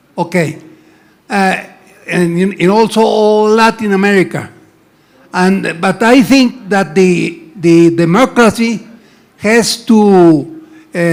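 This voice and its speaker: Speaking at a very slow pace with long, frequent pauses, a man uses a high pitch and ordinary pitch variation. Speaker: audience member asking a question. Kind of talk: audience question. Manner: halting.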